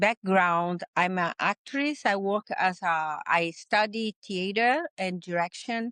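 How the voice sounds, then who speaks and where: In a Portuguese accent, a woman speaks at a very slow pace with a medium pitch. The sound is dry and close with no echo, and the background is quiet. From Brazil. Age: 60s. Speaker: healing sanctuary founder. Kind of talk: interview conversation. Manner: halting non-native phrasing.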